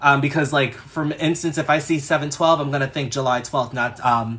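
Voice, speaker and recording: Against a quiet background, a man with a New York accent speaks at a fairly quick pace in a bright, sharp tone. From US, New York. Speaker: astrologer. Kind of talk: live-stream astrology reading. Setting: live stream. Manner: casual, chatty.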